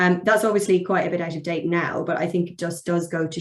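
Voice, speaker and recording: A woman with a fairly low pitch speaks at a very fast pace with an English accent. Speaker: barrister. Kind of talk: webinar presentation.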